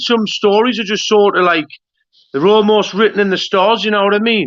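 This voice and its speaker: Speaking with a Geordie accent, a man uses a high pitch and a moderate pace. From northern England, Newcastle. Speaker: YouTube interviewer. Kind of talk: interview.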